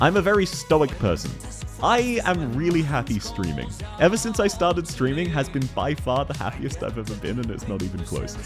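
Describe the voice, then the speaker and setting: Music plays in the background as a man talks. His tone is excited and his pace fairly quick. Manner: happy, excited, fast.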